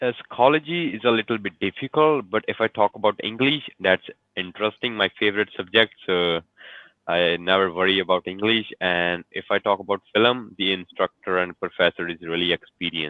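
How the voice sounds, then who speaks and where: A man's fairly low pitch with ordinary variation at a fairly quick pace. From Punjab, India. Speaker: English learner, student. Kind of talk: casual chat. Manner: halting.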